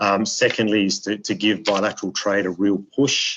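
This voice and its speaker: In an Australian accent, a man talks at a moderate pace with fairly low pitch and monotone, flat intonation. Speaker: diplomat. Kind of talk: webinar speech. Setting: video webinar. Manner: halting, many repetitions.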